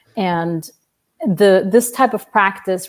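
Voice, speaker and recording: A speaker with a non-native accent and ordinary pitch variation. The recording is very clean, with a silent background. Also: woman. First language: not English. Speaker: family constellation facilitator. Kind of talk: interview. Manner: hesitant, many fillers.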